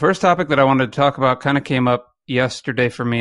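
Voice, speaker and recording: Against a quiet background, a man speaks at a fairly quick pace and medium pitch. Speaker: podcast co-host. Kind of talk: casual chat. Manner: fast.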